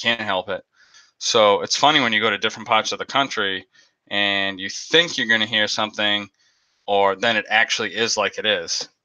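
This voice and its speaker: A man speaks with a Boston accent in a fairly low pitch, his tone bright and sharp. He talks at a moderate pace against a quiet background. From Boston area. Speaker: aquarium YouTuber. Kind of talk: live stream chat, storytelling. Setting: live stream. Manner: animated.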